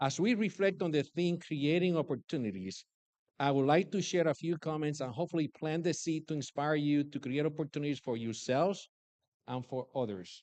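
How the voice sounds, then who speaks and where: Against a quiet background, a man with a Puerto Rican accent talks at a fairly quick pace in a fairly high pitch with ordinary pitch variation, the sound dry and close with no echo. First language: Spanish. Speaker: commencement speaker, businessman and army veteran. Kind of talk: commencement speech. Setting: graduation ceremony.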